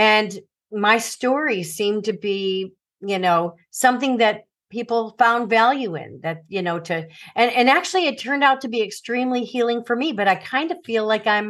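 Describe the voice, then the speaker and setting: In an American accent and an ordinary speaking voice, a woman talks at a moderate pace with a fairly high pitch and ordinary pitch variation against a quiet background. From US Midwest, Chicago suburbs. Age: 60s. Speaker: author and former teacher. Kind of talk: interview about personal trauma.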